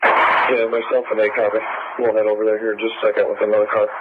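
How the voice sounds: A man speaks at a fast pace in a fairly low pitch. His pitch shows little movement.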